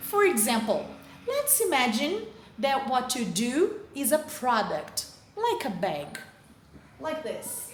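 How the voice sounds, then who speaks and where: A woman with a Brazilian Portuguese accent speaks in a high voice at a very slow pace, with long, frequent pauses. Her pitch swings very widely, and the recording carries audible room echo and noticeable background noise. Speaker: teacher. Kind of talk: lecture. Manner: careful, deliberate.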